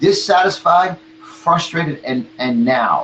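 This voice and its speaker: A man's voice is heard over noticeable background noise. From New York. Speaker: motivational speaker and marketing coach. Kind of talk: motivational talk in interview. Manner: animated.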